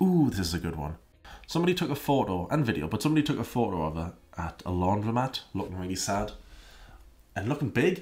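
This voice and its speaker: A man speaks at a fairly quick pace in a somewhat breathy, medium-pitched voice with very wide pitch swings. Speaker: YouTube commentary creator; commentary youtuber. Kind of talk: casual commentary video. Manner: sarcastic; animated. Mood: wry, skeptical. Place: home room. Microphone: studio mic.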